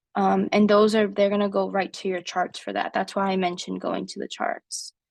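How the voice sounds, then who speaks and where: A woman's voice comes through dry and close with no echo, over a quiet background. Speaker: nursing tutor. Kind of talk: tutoring session. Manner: hesitant, many fillers.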